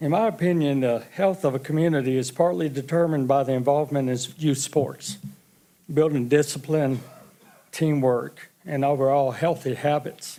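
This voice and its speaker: At a moderate pace, a man with a normal speaking voice talks at a fairly high pitch, with ordinary pitch variation and very even loudness. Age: 60s. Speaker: public commenter, youth sports coach. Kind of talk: public comment at council meeting. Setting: city council chamber.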